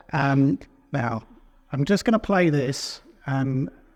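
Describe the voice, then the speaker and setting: A fairly slow delivery in a British accent, with ordinary pitch variation. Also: man. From UK. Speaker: company founder and session moderator. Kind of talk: conference presentation.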